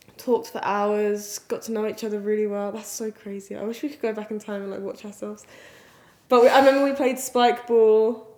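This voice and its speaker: A woman with an English accent speaks at a fairly quick pace in a fairly high pitch, her loudness swinging widely while her intonation stays fairly even. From England. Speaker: vlogger. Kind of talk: casual chat.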